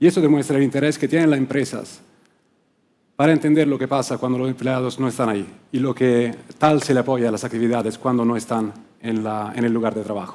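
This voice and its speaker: Very fast and fairly even in intonation, a man with an Italian accent speaks at a medium pitch with a dark, mellow tone. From Italy, Rome. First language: Italian (speaking Spanish). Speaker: client service director at a workplace research firm. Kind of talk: conference talk. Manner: occasional hesitations and restarts.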